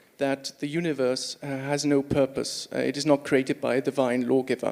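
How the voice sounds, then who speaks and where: With a Swiss accent, a man talks at a moderate pace in a fairly high pitch. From Switzerland. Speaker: audience member asking a question. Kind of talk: audience question.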